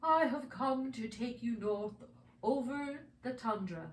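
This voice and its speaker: A female-sounding, high-pitched put-on character voice speaks at a fairly slow pace with audible echo. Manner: soothing, gentle.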